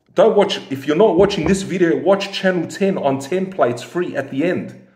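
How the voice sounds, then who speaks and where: The background is quiet, with audible room echo. A man speaks at a moderate pace. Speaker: football fan commentator. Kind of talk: casual vlog chat. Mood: frustrated, disappointed. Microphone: phone near.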